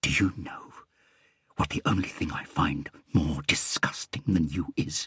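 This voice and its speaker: A man's put-on character voice, raspy and whispering, at a moderate pace. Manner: whispering, menacing.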